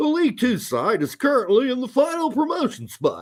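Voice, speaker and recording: Using a put-on character voice, a man talks fairly quickly at an extremely high pitch. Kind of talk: formal, 1950s broadcast style. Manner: brisk, announcer cadence.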